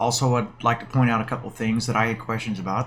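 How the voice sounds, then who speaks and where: Music plays in the background as a man talks at a very fast pace and medium pitch. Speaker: gaming video creator. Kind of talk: gameplay commentary. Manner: casual, with filler words.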